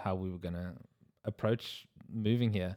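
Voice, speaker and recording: A man with a South African accent talks at a moderate pace in a fairly low pitch and fairly even intonation, on a very clean recording with a silent background. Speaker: wedding photographer, podcast co-host. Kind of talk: casual chat.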